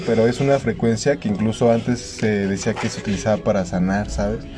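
Very fast speech over music in the background. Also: man. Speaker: podcast host. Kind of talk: casual chat.

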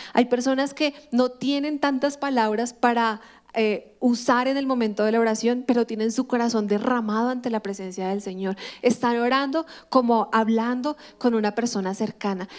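A woman with an ordinary speaking voice and a fairly high pitch talks at a moderate pace with fairly even intonation. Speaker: pastor. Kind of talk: sermon.

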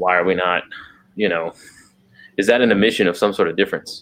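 A man with an American accent, very deep and low in pitch, at a very fast pace with fairly even intonation. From Texas. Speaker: podcast co-host. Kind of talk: casual chat.

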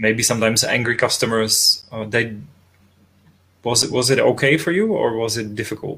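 A man with a Czech accent speaks in a bright, sharp tone with ordinary pitch variation. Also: medium pitch for a man, moderate pace. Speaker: interviewer. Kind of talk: interview. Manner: halting.

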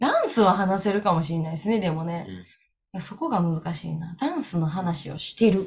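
A woman with a Kansai accent speaks at a fairly low pitch and a moderate pace, her voice somewhat breathy. Her tone is animated with ordinary pitch variation, and audible room echo surrounds her. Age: 30s. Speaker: dance school manager, podcast co-host. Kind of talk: casual chat.

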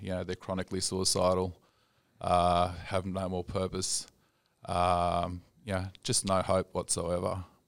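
A man with an Australian accent speaks at a moderate pace in a very deep, low pitch. His intonation is monotone and flat, in a very clean recording with a silent background. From Australia, Sydney. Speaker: rehab clinic manager. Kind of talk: casual chat.

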